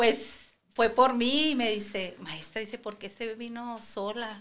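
A woman's fairly high voice at a fairly slow pace, with fairly even intonation over light background noise. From Sinaloa, Mexico (Guasave); Sinaloa, Mexico. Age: 50s. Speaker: preschool teacher and cancer survivor; podcast guest. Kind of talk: testimony. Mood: emotional personal illness story. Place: studio. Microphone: studio mic.

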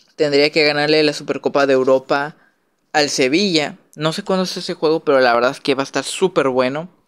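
A man with a Mexican accent talks at a fairly quick pace with fairly even intonation. The sound is dry and close, with no echo. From Mexico. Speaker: YouTuber, football commentator. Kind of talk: casual monologue. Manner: hesitant, many fillers.

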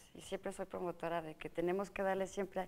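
A woman's normal speaking voice, medium in pitch, at a fairly quick pace. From Mexico, Morelia (Michoacán); Michoacán, Mexico. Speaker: state agriculture official and politician; politician. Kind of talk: TV interview. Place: studio. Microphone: lapel.

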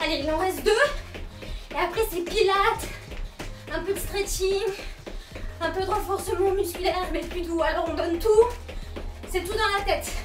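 A woman's extremely high voice at a moderate pace, with ordinary pitch variation, long, frequent pauses, and clear music in the background. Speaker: fitness instructor. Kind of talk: workout coaching. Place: home room. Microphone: camera far.

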